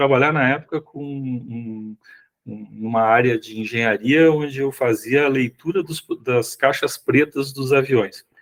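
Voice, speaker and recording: In an ordinary speaking voice, the speech moves at a fairly slow pace with fairly even intonation and big swings in loudness, recorded with a dry, close sound with no echo. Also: man, medium pitch for a man. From Rio Grande do Sul, southern Brazil. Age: 60s. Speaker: sales executive and consultant. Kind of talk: podcast interview. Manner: casual, with frequent fillers.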